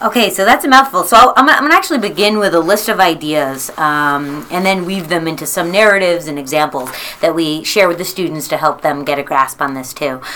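A woman talks at a fairly quick pace with a fairly low pitch, lively intonation and hardly any pauses. Noticeable background noise runs under her voice. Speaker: high school teacher. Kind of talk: interview.

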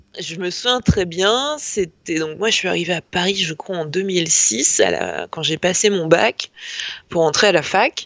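Speaking at a fairly slow pace, a woman with a fairly low pitch uses lively intonation and vocal fry. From northern France, Lille. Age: 30s. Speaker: journalist. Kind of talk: casual chat.

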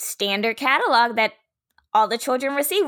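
A woman's fairly high voice in an American accent, with ordinary pitch variation, on a very clean recording with a silent background. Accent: Southern US, noticeable when relaxed. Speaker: podcast host, teacher. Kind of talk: casual chat, podcast.

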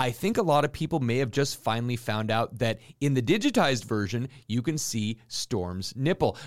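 A man talks at a moderate pace and medium pitch, in a normal speaking voice with ordinary pitch variation and hardly any pauses. The recording is very clean, with a silent background. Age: 40s. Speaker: comic book market co-host. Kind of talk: weekly comic market rundown.

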